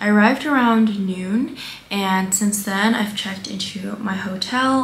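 A woman is speaking with audible room echo. Light background noise can be heard. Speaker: travel vlogger. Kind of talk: casual vlog chat. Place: home room. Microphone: camera far.

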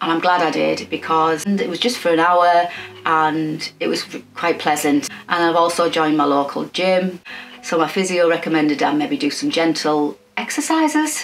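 A woman with an English accent speaks at a fairly low pitch and a moderate pace, with ordinary pitch variation. Faint music plays in the background. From England. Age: 50s. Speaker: sewing YouTuber. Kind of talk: personal vlog update. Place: home room.

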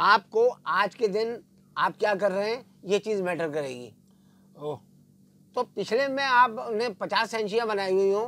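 The tone is bright and sharp, the pace fairly slow, and the sound dry with no echo, with ordinary pitch variation and long, frequent pauses. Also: man, high pitch for a man. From Pakistan. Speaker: veteran sports journalist. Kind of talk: casual cricket analysis. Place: studio. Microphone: lapel.

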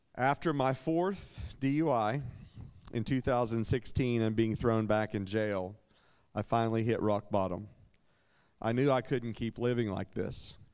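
The background stays quiet. A man talks fairly slowly, his pitch varying in an ordinary way. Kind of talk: personal testimony. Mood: earnest, reflective, occasionally smiling. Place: church. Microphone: handheld.

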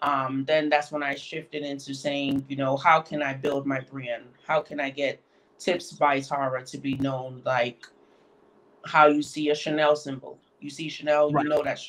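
In an American accent, a woman with a very deep, low pitch talks at a moderate pace in a monotone, flat intonation, her loudness swinging widely. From Connecticut. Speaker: nail artist and educator; interview guest. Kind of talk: interview. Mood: calm, reflective. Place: home room. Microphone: video call.

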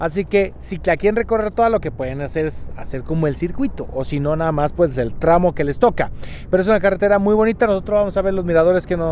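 The speech runs at a very fast pace with ordinary pitch variation. The sound is dry with no echo, and there is light background noise. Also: man. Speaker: travel vlogger. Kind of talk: casual vlog chat. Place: car. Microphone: phone near.

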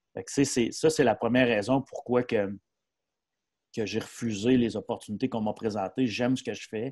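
A man in an ordinary speaking voice, medium-pitched and fairly quick, with fairly even intonation and big swings in loudness, dry with no echo against a quiet background. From Quebec, Mauricie (Shawinigan-Sud); Quebec. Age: 40s. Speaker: hockey coach and player agency advisor; hockey coach. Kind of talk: casual interview. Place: home room. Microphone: earbuds.

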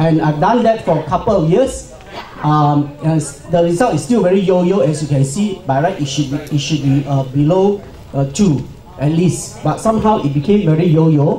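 Light background noise and audible room echo surround a man speaking at a high pitch. His intonation is lively while his loudness stays very even. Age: 50s. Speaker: cancer survivor and pharmaceutical employee. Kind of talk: conference talk. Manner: halting. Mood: calm, personal story. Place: hall.

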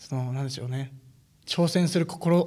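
A man's dark, mellow tone and fairly even intonation come through on a very clean recording with a silent background. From Akita City. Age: 19. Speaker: new office employee. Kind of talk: interview.

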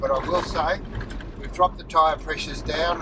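Recorded dry with no echo, a man talks over noticeable background noise. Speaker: vlogger. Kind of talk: casual vlog chat. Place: car. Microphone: camera far.

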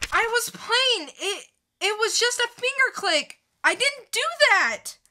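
In a put-on character voice, the speaker goes at a slow pace with lively intonation and a bright, sharp tone. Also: woman, extremely high pitch for a woman.

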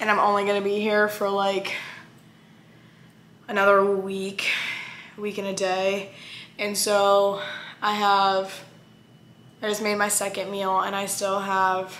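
Amid audible room echo, a woman speaks at a very slow pace with long, frequent pauses, her medium pitch flat and monotone. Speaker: vlogger. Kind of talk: casual vlog talk.

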